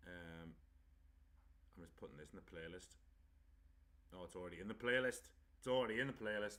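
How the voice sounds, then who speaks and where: Quiet and fairly low-pitched, a man with a bright, sharp tone talks at a fairly quick pace with long, frequent pauses, ordinary pitch variation and big swings in loudness. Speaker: pro wrestler doing a watchalong stream. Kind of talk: casual live-stream commentary. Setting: live stream. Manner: quiet at first, then louder.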